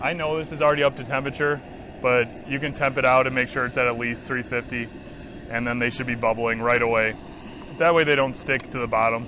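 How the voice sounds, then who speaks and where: Recorded dry with no echo over light background noise, a man talks fairly quickly with ordinary pitch variation. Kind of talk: tutorial. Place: garden.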